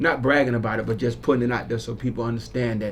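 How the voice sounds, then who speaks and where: With a Southern US accent, a man speaks at a medium pitch amid audible room echo. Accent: Southern twang. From South Florida (Broward County). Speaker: community activist. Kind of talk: radio interview. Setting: radio studio. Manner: casual, animated.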